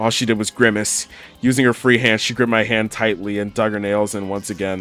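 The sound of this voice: The delivery is an unforced reading voice with fairly even intonation.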